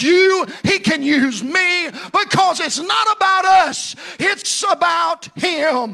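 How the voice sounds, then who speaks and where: An extremely high-pitched male voice, raised and projected, animated in tone over noticeable background noise. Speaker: preacher. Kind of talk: sermon. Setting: church with congregation. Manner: animated, fervent, call-and-response preaching; emphatic, rising with passion.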